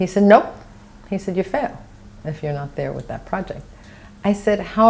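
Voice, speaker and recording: The speech comes with a New York accent and lively intonation. It moves at a moderate pace. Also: woman. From New York City, Brooklyn (Borough Park); New York City. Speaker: architect, oral history interviewee; interviewee. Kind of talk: oral history interview. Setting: at her home. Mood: warm, reflective. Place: home room. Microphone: lapel.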